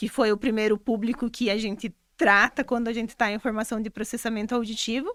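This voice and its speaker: Monotone, flat intonation at a fairly quick pace, dry and close with no echo, very clean recording with a silent background. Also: woman, fairly high pitch for a woman. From Brazil, Rio Grande do Sul. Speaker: speech therapist. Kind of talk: interview.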